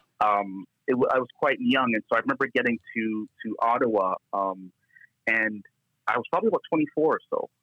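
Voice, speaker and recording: A man in a Toronto accent at a fairly quick pace, the sound dry and close with no echo. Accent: Canadian English (Toronto). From Scarborough, Toronto, Canada. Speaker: pastor and church leader. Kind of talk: interview.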